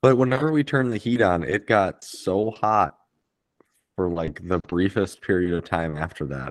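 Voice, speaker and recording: In a dry, close sound with no echo and a quiet background, a man with a very deep, low pitch talks at a moderate pace using lively intonation. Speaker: podcast co-host, bird hunter. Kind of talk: casual chat.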